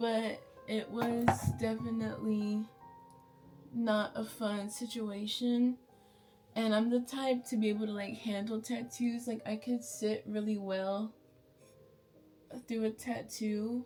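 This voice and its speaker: With an American accent, a woman speaks very slowly in a fairly high, monotone, flat voice broken by long, frequent pauses. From Bay Area, California. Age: 20s. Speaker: beauty vlogger. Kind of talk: storytime. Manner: chatty, casual.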